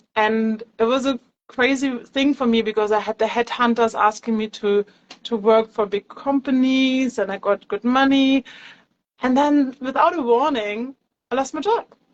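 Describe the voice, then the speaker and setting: Moderate pace with a German accent and fairly even intonation, a dry, close sound with no echo. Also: woman, high pitch for a woman. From Germany. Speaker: yoga teacher. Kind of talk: interview. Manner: hesitant, with many fillers.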